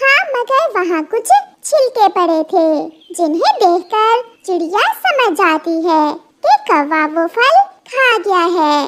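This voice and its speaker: In a put-on character voice, a woman speaks very slowly with an extremely high, squeaky pitch and lively intonation. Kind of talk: children's cartoon story narration. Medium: cartoon. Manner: simple, gentle.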